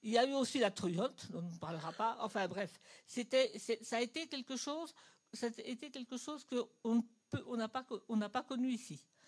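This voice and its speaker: This woman's voice sits fairly high and moves at a moderate pace. Her intonation is lively, with big swings in loudness. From Germany. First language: German (speaking French). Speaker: audience member. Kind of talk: audience question. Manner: halting.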